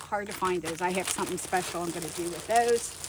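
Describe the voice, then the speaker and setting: A woman speaks in an animated tone against noticeable background noise. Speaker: junk journal crafter and vlogger. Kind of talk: casual show-and-tell haul video. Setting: in her car trunk by the garage.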